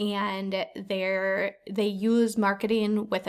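In a very clean recording with a silent background, a woman with an unremarkable speaking voice talks at a medium pitch with fairly even intonation. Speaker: podcast host. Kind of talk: casual chat.

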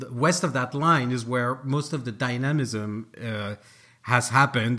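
With a French accent, a man speaks in a bright, sharp tone with ordinary pitch variation. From France, Paris. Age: 40s. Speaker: author. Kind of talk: interview. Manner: animated.

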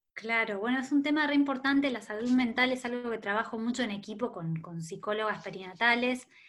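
With a Rioplatense accent, a woman talks at a fairly quick pace with lively intonation. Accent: Argentine Rioplatense Spanish. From Argentina, Rosario (Santa Fe). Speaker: author and maternity therapist. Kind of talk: interview conversation.

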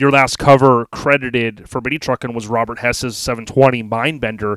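An unremarkable speaking voice, a man's at medium pitch with an American accent, moving at a moderate pace. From Florida. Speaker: podcast host, car enthusiast. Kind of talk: show intro; interview. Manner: casual.

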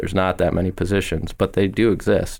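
In an American accent, a man speaks at a moderate pace with a very deep, low pitch. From Wisconsin. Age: 30s. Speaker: magazine editor. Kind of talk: interview.

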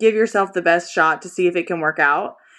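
An ordinary speaking voice from a woman at a fairly quick pace, over a quiet background. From US, Destin, Florida. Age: 30s. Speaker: professional tennis player. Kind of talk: casual chat.

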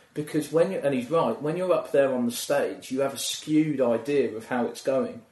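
With ordinary pitch variation and a moderate pace, a man talks in a fairly high voice as noticeable background noise plays behind. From England, Milton Keynes area. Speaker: stand-up comedian. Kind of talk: casual chat.

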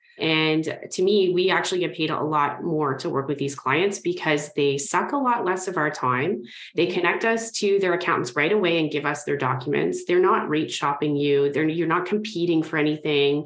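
Amid noticeable background noise, a woman with a very deep, low pitch and ordinary pitch variation talks at a moderate pace with very even loudness and hardly any pauses. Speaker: mortgage broker. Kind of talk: casual interview chat.

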